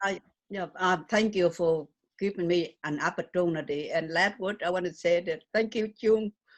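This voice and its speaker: A woman's medium-pitched voice with a strong Vietnamese accent, a moderate pace and fairly even intonation. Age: 70s. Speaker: memoirist and humanitarian. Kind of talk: interview. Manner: loud.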